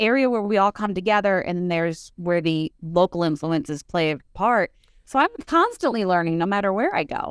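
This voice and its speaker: A woman with an American accent talks at a fairly quick pace in a normal speaking voice, medium in pitch, with lively intonation. The sound is dry and close, with no echo. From Northeastern Pennsylvania. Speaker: author and historian. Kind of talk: interview.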